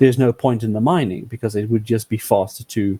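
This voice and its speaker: A somewhat breathy voice with a dark, mellow tone moves at a fairly quick pace with ordinary pitch variation. The sound is dry and close, with no echo. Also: man. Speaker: gaming podcast panelist. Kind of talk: casual discussion. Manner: halting.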